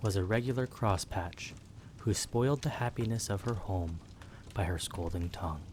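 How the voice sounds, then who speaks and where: Somewhat breathy and dark, mellow in tone, a man talks at a fairly low pitch with ordinary pitch variation. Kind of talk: sleep story. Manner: whispered.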